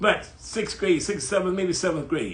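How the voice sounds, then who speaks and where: A man speaks at a fairly quick pace. Room echo can be heard in the recording. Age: 80s+. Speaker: writer. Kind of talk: casual chat. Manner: animated.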